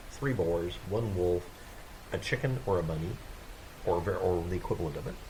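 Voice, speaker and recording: Mumbling with ordinary pitch variation, a man is heard over noticeable background noise and audible room echo. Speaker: gaming video creator. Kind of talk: gameplay tutorial. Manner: halting.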